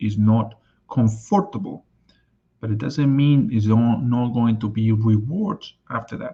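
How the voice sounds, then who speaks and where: A man's somewhat breathy, medium-pitched voice with a Spanish accent, ordinary pitch variation and a fairly slow pace. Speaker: life and business coach. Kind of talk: live stream talk.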